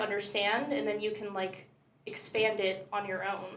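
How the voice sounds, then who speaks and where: A woman with a fairly high voice is heard amid noticeable background noise and audible room echo. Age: 20s. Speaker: content creator. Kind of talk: casual chat. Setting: live podcast.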